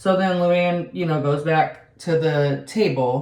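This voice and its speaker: A woman speaks in a somewhat breathy voice. There is audible room echo. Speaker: beauty and reality TV vlogger. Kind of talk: casual chat.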